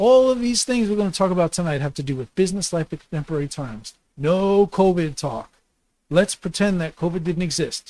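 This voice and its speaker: Lively intonation comes at a fairly quick pace, the sound dry and close with no echo. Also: man, high pitch for a man. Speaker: livestream host, small business talk. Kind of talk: live stream talk. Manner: fast; halting, many fillers.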